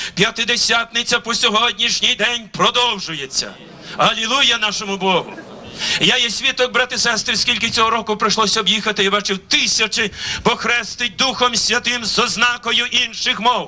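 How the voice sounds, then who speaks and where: Over light background noise, a man uses a raised, projected voice at an extremely high pitch, with very even loudness and fairly even intonation. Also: moderate pace. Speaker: pastor. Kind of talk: sermon. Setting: church. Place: open country. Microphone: handheld.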